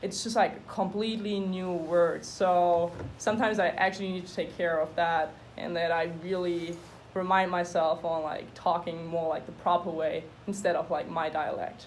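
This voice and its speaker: A woman with a German accent, fairly low pitch, fairly even intonation and moderate pace. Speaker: student. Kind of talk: class presentation.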